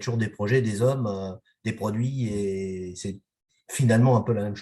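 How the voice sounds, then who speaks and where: Somewhat breathy and dark, mellow in tone, a man of medium pitch speaks at a fairly slow pace in a very clean recording with a silent background. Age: 60s. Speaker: company president. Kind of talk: interview. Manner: halting, many hesitations.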